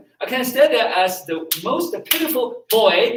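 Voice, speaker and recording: A man with a Chinese accent, high in pitch, with very wide pitch swings. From China. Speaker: martial arts and meditation teacher. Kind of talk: teaching talk. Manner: halting.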